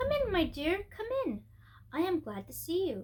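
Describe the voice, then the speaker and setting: Using a put-on character voice, a woman speaks at a moderate pace in an extremely high, squeaky, shaky tone with very wide pitch swings. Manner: sweet, welcoming.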